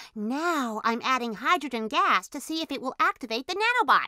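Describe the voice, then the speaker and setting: Using a cartoonish character voice, a woman speaks at a high pitch with very wide pitch swings, in a dry, close sound with no echo. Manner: excited, explanatory.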